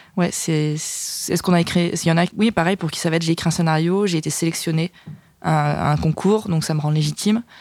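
Over noticeable background noise, a woman talks fairly quickly with a fairly low pitch and fairly even intonation. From Burgundy, France (village near Dijon). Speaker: screenwriter. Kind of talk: casual chat.

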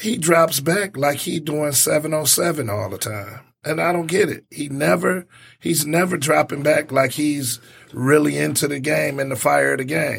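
With an American accent, a man speaks at a fairly slow pace in a fairly high pitch, using lively intonation and some vocal fry. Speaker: sports talk co-host. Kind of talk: casual sports talk. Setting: studio.

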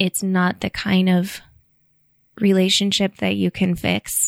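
A woman's medium-pitched voice comes through on a very clean recording with a silent background. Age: 30s. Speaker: former competition climber. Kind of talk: casual interview.

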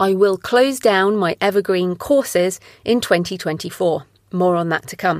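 With an unremarkable speaking voice, a woman at a medium pitch talks at a moderate pace with ordinary pitch variation, the sound dry and close with no echo on a very clean recording with a silent background. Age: 40s. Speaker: podcast host and author. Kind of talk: solo monologue. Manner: scripted reading.

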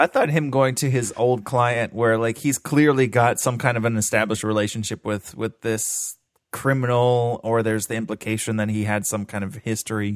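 A man with an American accent speaks in a plain, everyday voice at medium pitch and a moderate pace, with fairly even intonation and hardly any pauses, the sound dry and close with no echo on a very clean recording with a silent background. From Florida. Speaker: movie podcast co-host. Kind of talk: casual chat.

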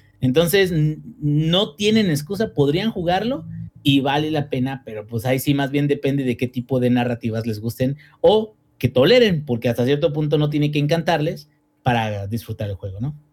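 A man talks in a normal speaking voice at a fairly high pitch. His intonation is lively and his pace moderate. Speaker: gaming podcast co-host, engineer. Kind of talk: casual chat.

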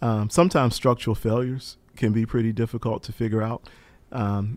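Over a silent background on a very clean recording, an unremarkable speaking voice moves at a fairly quick pace with fairly even intonation. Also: man. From US South, eastern North Carolina. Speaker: professor of aviation safety and accident investigation. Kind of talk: interview.

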